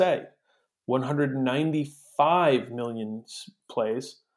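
With ordinary pitch variation and a fairly slow pace, a man talks in an unremarkable speaking voice. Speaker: podcast co-host. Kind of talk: casual chat.

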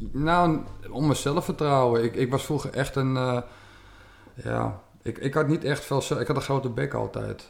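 A man speaks in a normal speaking voice at a medium pitch. He goes at a fairly slow pace with fairly even intonation. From Netherlands, West-Friesland (Noord-Holland). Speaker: martial arts champion and instructor. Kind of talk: casual interview.

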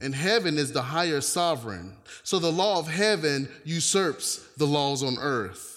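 Over a very clean recording with a silent background, a man speaks with an American accent in an ordinary speaking voice. His pitch is fairly high, his intonation lively and his pace fairly slow. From US South, North Carolina. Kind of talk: sermon. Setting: church with congregation.

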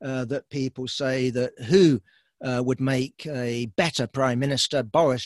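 A man with a British accent speaks at a fairly slow pace with fairly even intonation. The sound is dry and close with no echo, against a quiet background. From Britain. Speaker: political commentator. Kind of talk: talk. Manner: halting.

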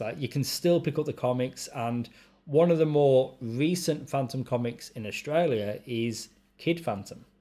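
A man speaks at a moderate pace in a fairly high pitch, his tone dark and mellow, with ordinary pitch variation. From UK. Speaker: podcast host. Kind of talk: casual chat.

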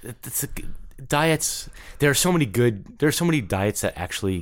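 A man with an American accent speaks at a moderate pace with lively intonation in an ordinary speaking voice. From New York. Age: 50s. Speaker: fitness trainer and former touring bassist. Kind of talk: casual interview.

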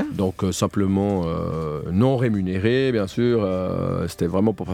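A man with a normal speaking voice talks at a fairly low pitch, his intonation lively. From French-speaking Switzerland (Morges). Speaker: reality TV contestant. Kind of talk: radio interview. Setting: studio.

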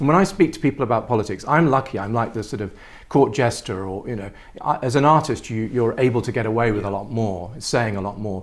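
A man with an English accent speaks very fast at a medium pitch with ordinary pitch variation. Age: 50s. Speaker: artist. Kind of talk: interview.

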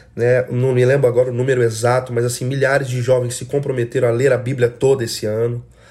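In a Brazilian accent, a man speaks with a dark, mellow tone, somewhat breathy and in a monotone, flat intonation. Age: 30s. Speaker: worship leader. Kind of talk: solo podcast monologue. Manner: casual.

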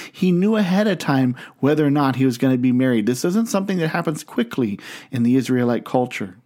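A man with an American accent and a dark, mellow tone at medium pitch, very fast pace, very wide pitch swings and very even loudness, on a very clean recording with a silent background. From US Midwest, Canton, Ohio. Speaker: pastor. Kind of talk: sermon.

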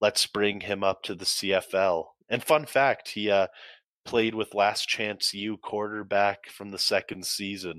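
Speaking fairly slowly in a plain, everyday voice, a man with a Canadian accent has a fairly low pitch and fairly even intonation, with a dry, close sound, no echo and a quiet background. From Canada, Calgary. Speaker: university football player. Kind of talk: casual chat.

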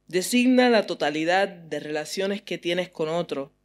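Fairly slow speech on a very clean recording with a silent background. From US and Puerto Rico. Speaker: poet. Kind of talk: poetry reading; interview.

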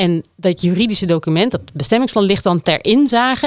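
Her ordinary speaking voice moves at a fairly quick pace, and the woman's intonation is lively. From Netherlands, Groningen province (small village). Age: 40s. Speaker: city councillor, former urban planner. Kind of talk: political discussion.

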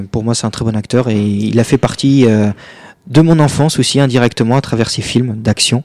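On a very clean recording with a silent background, a man at medium pitch talks at a moderate pace with fairly even intonation. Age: 20s. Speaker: youth politician. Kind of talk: radio interview. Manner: halting.

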